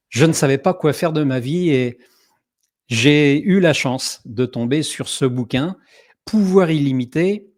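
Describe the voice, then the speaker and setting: Here a man speaks at a fairly high pitch. The variation in his pitch is ordinary. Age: 60s. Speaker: online summit host. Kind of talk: online event introduction. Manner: hesitant, many filler sounds.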